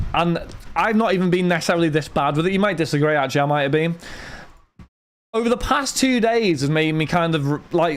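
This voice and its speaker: With a British accent, a high-pitched man speaks at a fairly quick pace using lively intonation. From Britain. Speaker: card break livestreamer. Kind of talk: livestream chat. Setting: home streaming studio with lights and fan. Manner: casual, chatty.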